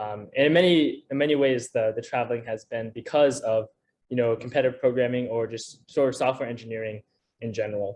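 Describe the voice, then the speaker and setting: A man at medium pitch, with an unremarkable speaking voice. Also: fairly even intonation, fairly quick pace. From US Northeast, Connecticut. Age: 18. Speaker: student, competitive programmer. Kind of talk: seminar talk. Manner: many fillers and repetitions.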